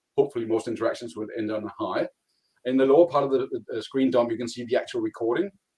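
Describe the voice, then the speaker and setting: This man speaks with a Danish accent. His pace is very fast. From Denmark. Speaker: cloud contact center consultant. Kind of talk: technical presentation.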